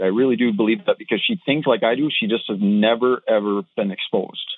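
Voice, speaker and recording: A man speaks with a strong Minnesotan accent. His intonation is lively. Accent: Minnesotan, thick. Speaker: caller. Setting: phone call.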